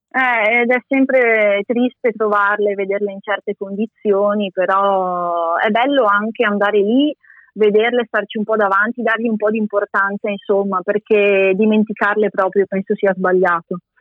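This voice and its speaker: In a normal speaking voice, the speaker keeps a moderate pace and fairly even intonation. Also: woman, medium pitch for a woman. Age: 20s. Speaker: former master's student, graphic designer and illustrator. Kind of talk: interview. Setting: remote call.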